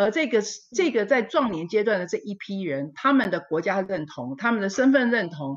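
A woman's voice with very wide pitch swings against a quiet background. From Taiwan. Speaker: historian; panelist. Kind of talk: panel discussion. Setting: video call. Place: home room. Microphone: video call.

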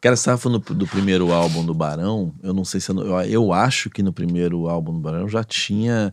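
Fairly quick speech with hardly any pauses, ordinary pitch variation and a dry sound with no echo. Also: man, very deep, low pitch for a man. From Rio de Janeiro. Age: 40s. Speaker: podcast host. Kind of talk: casual interview. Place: studio. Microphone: studio mic.

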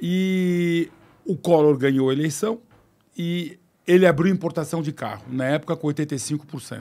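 A man's fairly high-pitched voice, dark and mellow in tone, with fairly even intonation. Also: fairly slow pace. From Brazil. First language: French (speaking Portuguese). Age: 60s. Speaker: car company executive; podcast guest. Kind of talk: interview. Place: studio. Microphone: studio mic.

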